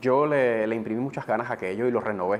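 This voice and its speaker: Fairly even intonation from a man talking at a very fast pace. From eastern Cuba, Gibara. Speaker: TV presenter and radio announcer. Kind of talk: interview. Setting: studio.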